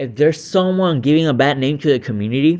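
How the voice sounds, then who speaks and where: Very fast speech from a man, fairly high in pitch, with ordinary pitch variation. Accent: Puerto Rican. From Puerto Rico. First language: Spanish. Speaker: YouTube reactor. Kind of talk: reaction commentary. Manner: hesitant, many fillers.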